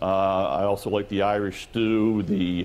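This man has a fairly low-pitched voice. His pitch varies in an ordinary way. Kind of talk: interview answer. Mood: friendly, upbeat. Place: hall.

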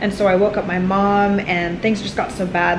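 A woman speaks over noticeable background noise. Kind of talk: casual vlog chat. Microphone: phone near.

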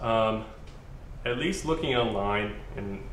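A man talks fairly slowly, his pitch varying in an ordinary way, with audible room echo and light noise behind him. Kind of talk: tutorial. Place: garage.

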